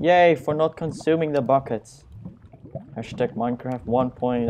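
A man at a medium pitch and a fairly slow pace. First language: not English. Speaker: gaming YouTuber. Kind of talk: let's play commentary. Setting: screen recording at home. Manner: self-deprecating, joking; casual, rambling.

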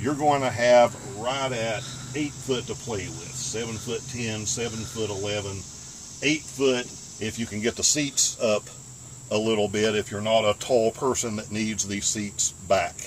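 A man's fairly slow delivery shows ordinary pitch variation, with light background noise behind him. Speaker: van life vlogger. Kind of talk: tutorial. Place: car. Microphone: camera far.

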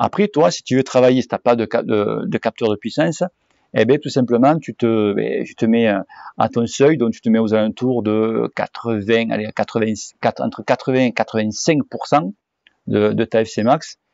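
A man of medium pitch speaks at a very slow pace with ordinary pitch variation, the sound dry with no echo against a quiet background. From southwest France (Cahors); southwest France. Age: 40s. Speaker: cycling YouTuber. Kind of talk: Q&A answering viewer questions, casual. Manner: hesitant, many fillers. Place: garden. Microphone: phone near.

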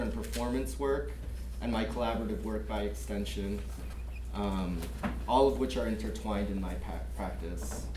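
Over noticeable background noise, the voice holds a monotone, flat intonation at a moderate pace. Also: man. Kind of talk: lecture. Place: classroom. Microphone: camera far.

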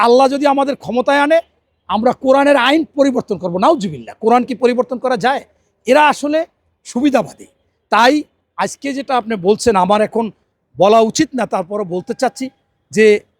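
The sound is dry and close, with no echo. A man speaks at an extremely high pitch with ordinary pitch variation. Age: 50s. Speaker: politician. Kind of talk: interview.

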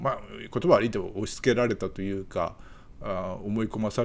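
The delivery comes at a moderate pace with ordinary pitch variation. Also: man. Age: 60s. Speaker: YouTuber; video commentator. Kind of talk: casual monologue; casual commentary chat. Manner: hesitant with many fillers. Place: home room. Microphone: webcam.

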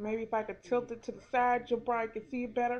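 Light background noise sits under the woman's voice. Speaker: phone reviewer. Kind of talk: product review. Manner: loud. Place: home room. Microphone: webcam.

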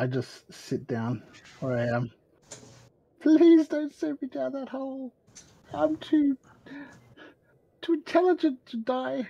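A man puts on a shaky character voice with an extremely high pitch. He talks at a fairly slow pace with long, frequent pauses. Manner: manic, nervous, trembling.

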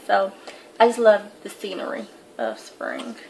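A Southern US accent over light background noise. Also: woman. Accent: Southern US (Georgia). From US South, Atlanta, Georgia. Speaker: beauty vlogger. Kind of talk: casual vlog, tag video. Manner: kept quiet so as not to wake her sleeping son. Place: home room. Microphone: webcam.

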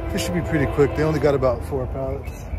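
A man at a fairly quick pace, dry sound with no echo, clear music in the background. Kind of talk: casual vlog chat. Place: street. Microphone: phone near.

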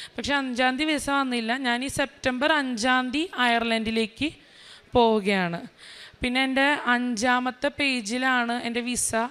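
A woman speaks at a high pitch with a bright, sharp tone. Her intonation stays fairly even. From Kerala, Vypin (Ernakulam). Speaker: speech therapist. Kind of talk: religious testimony.

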